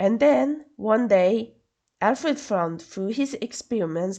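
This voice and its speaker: A woman's dark, mellow voice with very wide pitch swings, over a quiet background. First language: Swedish. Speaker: podcast host. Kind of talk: solo podcast narration. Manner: halting, stumbling over words; casual asides.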